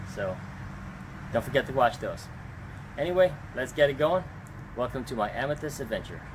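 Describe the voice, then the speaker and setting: A man talks at a fairly quick pace in a fairly high, somewhat breathy voice with ordinary pitch variation. He leaves long, frequent pauses. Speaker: rockhound YouTuber. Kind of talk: vlog narration. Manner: hesitant, many fillers.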